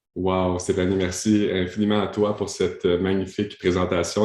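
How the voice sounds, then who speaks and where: Over a quiet background, a man with a very deep, low pitch speaks in a Quebec accent at a fairly slow pace with monotone, flat intonation. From Ottawa, Canada (French-Canadian). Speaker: coach and speaker. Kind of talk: podcast interview. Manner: hesitant, many fillers.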